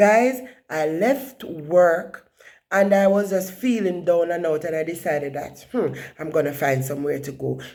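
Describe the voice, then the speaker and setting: With a Jamaican accent, a woman speaks fairly slowly in a fairly low pitch, her tone dark and mellow and her intonation lively. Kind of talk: casual vlog narration.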